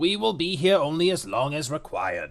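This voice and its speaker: Putting on a character voice, a man speaks high in pitch at a moderate pace with lively intonation. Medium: read story. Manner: terse, authoritative.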